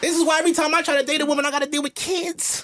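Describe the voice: The man's pitch is extremely high, and his tone is bright and sharp. He speaks at a very fast pace with little pitch movement.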